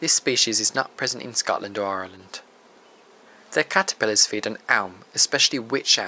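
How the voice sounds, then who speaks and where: A man talks in a normal speaking voice at a medium pitch with ordinary pitch variation. His moderate pace comes through in a dry, close sound with no echo. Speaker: nature presenter. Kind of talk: nature documentary narration. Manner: measured, even, informative; formal, steady pace.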